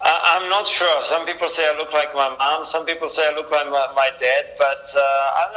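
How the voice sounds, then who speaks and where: Over noticeable background noise, a man with an Italian accent talks at a fairly quick pace in a fairly high voice with fairly even intonation. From Italy, Milan. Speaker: race car driver. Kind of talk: interview. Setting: video call.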